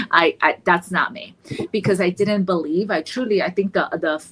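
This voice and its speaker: Music plays in the background as a woman speaks. Her intonation is lively and her pace moderate. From Colombia. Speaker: therapist in private practice. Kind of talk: podcast panel discussion. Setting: podcast recording. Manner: animated, with many fillers and repeated words.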